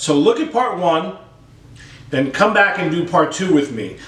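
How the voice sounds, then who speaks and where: Amid audible room echo, a man with a high pitch speaks in an animated tone at a moderate pace, his voice making very wide pitch swings. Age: 60s. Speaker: drum teacher. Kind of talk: tutorial.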